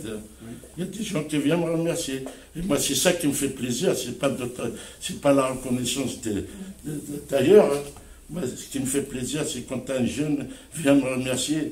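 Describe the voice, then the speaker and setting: A fairly high-pitched man at a moderate pace, with ordinary pitch variation, long, frequent pauses and noticeable background noise. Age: 70s. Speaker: community activist, association president. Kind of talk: interview answer.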